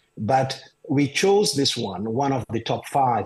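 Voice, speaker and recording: A somewhat breathy man speaks at a fairly slow pace against a quiet background. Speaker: urology professor. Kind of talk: interview. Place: home room. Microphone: video call.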